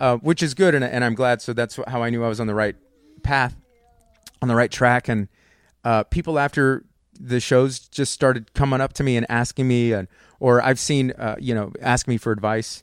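Using a plain, everyday voice, a man speaks at a medium pitch. His pace is moderate and his intonation fairly even. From Texas, near San Antonio. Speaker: comedian. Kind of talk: casual chat. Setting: home studio.

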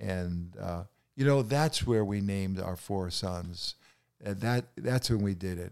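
This man has a New York accent. He talks at a fairly slow pace. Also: ordinary pitch variation. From New York City. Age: 80s+. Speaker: podcast guest, grandfather. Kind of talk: casual chat, storytelling.

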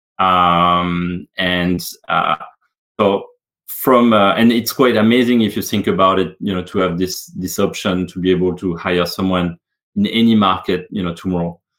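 Speaking at a moderate pace with a French accent, a man with a very deep, low pitch keeps his intonation fairly even. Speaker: business executive. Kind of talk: interview. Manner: hesitant, many fillers.

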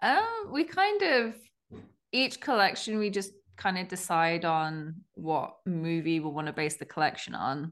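A woman with a British accent speaks at a fairly slow pace. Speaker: clothing brand co-founder. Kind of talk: casual interview chat. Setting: video call.

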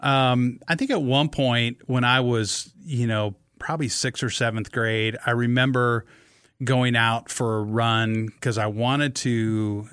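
A man with a Midwestern US accent at medium pitch, a fairly slow pace, fairly even intonation and very even loudness. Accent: US Midwest. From Nebraska. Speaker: amateur marathon runner. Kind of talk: casual chat. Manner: halting.

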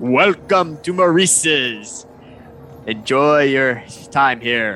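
Over clear background noise, the speaker uses a put-on character voice at a very slow pace. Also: man, medium pitch for a man.

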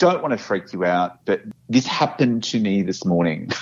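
Speaking with an Australian accent, a man with a fairly low pitch moves at a moderate pace with lively intonation. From Australia, Brisbane. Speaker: office worker sharing paranormal experiences. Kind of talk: personal storytelling interview. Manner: halting.

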